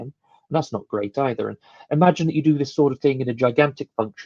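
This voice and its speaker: A man with a British accent speaks at a fairly quick pace in a dark, mellow tone, his pitch varying in an ordinary way, and the sound is dry and close with no echo. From UK. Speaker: conference speaker. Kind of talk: technical conference talk. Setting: live online stream. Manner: hesitant, with many fillers.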